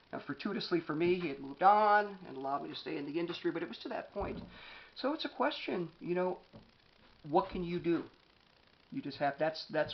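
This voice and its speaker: Loud and animated, a man with an American accent talks at a very fast pace, his pitch high. His intonation is lively. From US East Coast. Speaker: author and anger management speaker. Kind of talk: motivational talk.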